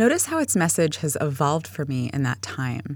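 Speaking at a moderate pace with a General American accent, a woman uses a very deep, low pitch and very wide pitch swings. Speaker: podcast host. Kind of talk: scripted podcast narration with reading aloud and reflection.

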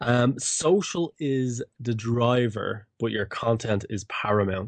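With a normal speaking voice, a man talks. His medium pitch shows ordinary variation. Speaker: podcast host. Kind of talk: casual chat.

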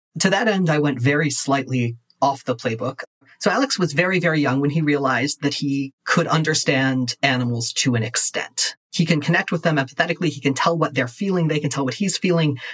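A man uses a normal speaking voice at a fairly high pitch with ordinary pitch variation. He moves at a fairly quick pace, and the sound is dry and close with no echo. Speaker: guest comic podcaster. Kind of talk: casual chat, actual play roleplaying game. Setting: home recording with baby and fan noise.

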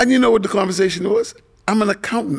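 A man speaks. His voice has vocal fry. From Bahamas, Nassau. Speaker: entrepreneur and accountant. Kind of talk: storytelling in casual interview.

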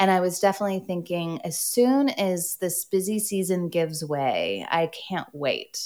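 With an American accent, a woman uses an ordinary speaking voice, fairly low in pitch with ordinary pitch variation, moving at a fairly slow pace with hardly any pauses. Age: 40s. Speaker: author. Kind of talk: interview.

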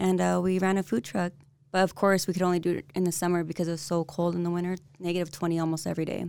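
A woman with an American accent talks at a very fast pace. Her voice is fairly low and her intonation monotone and flat. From San Diego, California. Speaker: real estate agent. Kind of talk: casual interview. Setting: studio.

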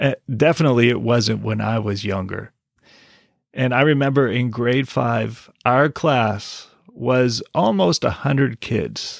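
In a very clean recording with a silent background, a man with vocal fry speaks at a medium pitch and fairly slow pace, with ordinary pitch variation. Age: 40s. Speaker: English teacher and podcast host. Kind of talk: solo podcast monologue. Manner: deliberate, repeats key points slowly.

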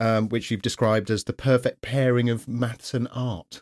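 A man's medium-pitched voice with a British accent, at a fairly quick pace. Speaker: podcast host. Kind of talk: casual interview.

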